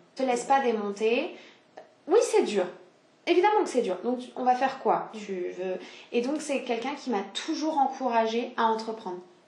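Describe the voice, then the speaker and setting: With lively intonation and a high pitch, a woman speaks at a moderate pace with long, frequent pauses, over noticeable background noise and audible room echo. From southeastern France. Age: 20s. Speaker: business founder. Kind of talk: casual chat. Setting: at home.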